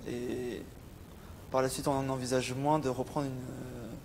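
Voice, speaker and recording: A man talks at a moderate pace with a monotone, flat intonation. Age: 20s. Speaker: psychiatric patient. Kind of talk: testimony. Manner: halting, many hesitations.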